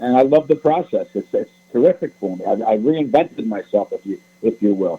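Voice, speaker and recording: Speaking with a New York accent, a man moves at a fairly quick pace. His pitch swings very widely. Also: medium pitch for a man. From New York City, the Bronx. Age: 70s. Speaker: author. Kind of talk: radio interview.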